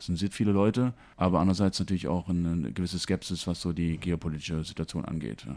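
A man with a very deep, low pitch and a dark, mellow tone talks at a very fast pace. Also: ordinary pitch variation. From Germany. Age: 50s. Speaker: school principal. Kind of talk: interview. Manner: hesitant with fillers. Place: office.

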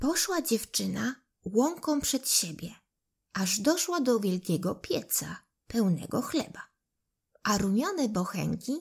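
The voice moves at a very slow pace with a gentle tone. Its pitch swings very widely. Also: woman. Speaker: audiobook narrator. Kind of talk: bedtime fairy tale read aloud to children. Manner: gentle, unhurried storytelling pace; voices characters expressively, like the pleading loaves and apples.

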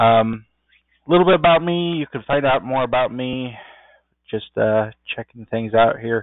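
At a moderate pace, a man with a medium pitch and ordinary pitch variation talks with long, frequent pauses. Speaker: software programmer presenting a training session. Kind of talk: tutorial. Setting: video call.

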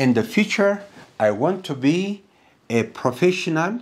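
A man's fairly high voice with big pitch swings, at a fairly slow pace.

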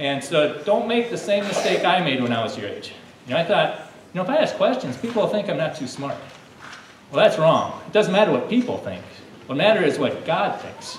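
A man speaks at a fairly quick pace. Light background noise and audible room echo are present. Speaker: presenter. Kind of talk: lively talk to a child audience. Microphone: podium.

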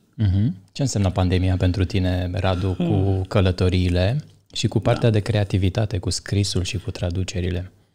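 With a very deep, low pitch, a man talks at a moderate pace in a dark, mellow, somewhat breathy tone with fairly even intonation. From Romania, Bărăgan region; Romania. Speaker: podcast host. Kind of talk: casual interview. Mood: calm, thoughtful. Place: studio. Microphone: studio mic.

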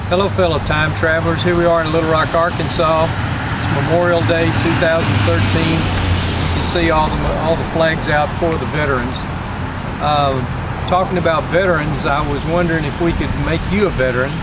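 Loud background noise sits under a dry, echo-free recording of a man talking at a moderate pace with ordinary pitch variation. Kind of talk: casual vlog chat. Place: open country. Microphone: phone near.

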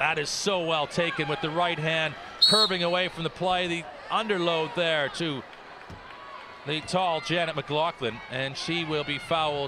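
Over noticeable background noise, a man with a fairly high pitch speaks at a fairly slow pace with fairly even intonation. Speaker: sports commentator. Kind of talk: live commentary.

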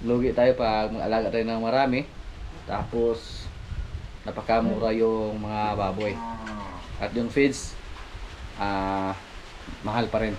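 The speech moves at a fairly slow pace with fairly even intonation over light background noise. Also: man. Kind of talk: casual vlog chat. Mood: calm, somewhat worried. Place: farm. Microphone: phone near.

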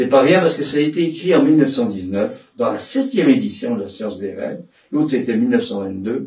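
A man's fairly high-pitched, dark, mellow voice with vocal fry, very wide pitch swings and a moderate pace. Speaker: psychoanalyst and dramatic tenor giving a seminar. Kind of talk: lecture. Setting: seminar room with audience. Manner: halting, many repetitions and fillers.

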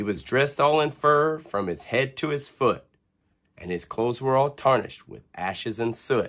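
Animated and cheerful in tone, a man talks at a moderate pace with ordinary pitch variation against a quiet background. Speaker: reader of a children's book. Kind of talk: poem read aloud to children, storybook narration. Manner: sing-song rhythmic, animated and cheerful, bedtime-story cadence. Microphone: phone near.

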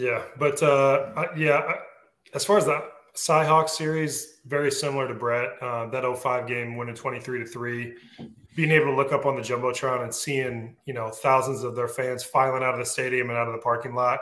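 The man's voice has a medium pitch and a bright, sharp tone. His intonation stays fairly even. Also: moderate pace. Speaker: former college football player. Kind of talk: casual chat.

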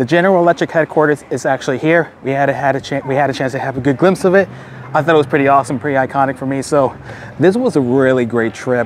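Light background noise sits under a man talking at a very fast pace, his pitch variation ordinary and the sound dry with no echo. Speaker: EV vlogger. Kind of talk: casual vlog chat. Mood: upbeat, enthusiastic. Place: street. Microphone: lapel.

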